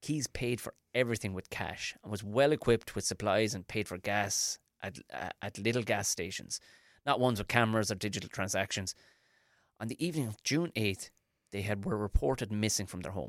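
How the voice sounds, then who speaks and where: In an Irish accent, a man talks at a fairly quick pace with a fairly low pitch and ordinary pitch variation, on a very clean recording with a silent background and a dry, close sound with no echo. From Ireland. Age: 40s. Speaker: stand-up comedian and podcast host. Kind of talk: casual chat.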